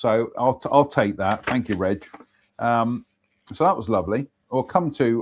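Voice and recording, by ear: Someone is reading aloud in a natural voice with ordinary pitch variation. The background is quiet.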